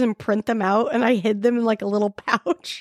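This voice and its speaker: With an American accent, the words come at a fairly quick pace. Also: woman, dry, close sound with no echo. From Utah, Salt Lake City. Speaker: podcast host. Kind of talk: casual chat. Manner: halting.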